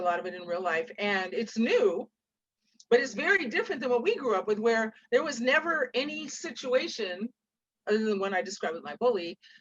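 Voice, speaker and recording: With an ordinary speaking voice, a woman talks fairly quickly at a fairly high pitch, her loudness swinging widely. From Seattle, US Pacific Northwest. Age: 60s. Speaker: author. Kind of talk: interview with storytelling.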